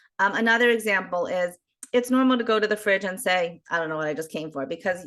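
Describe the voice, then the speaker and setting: A woman talks at a very fast pace with lively intonation and an American accent. The background is quiet. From US, Baltimore, Maryland. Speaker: geriatric social worker. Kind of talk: interview.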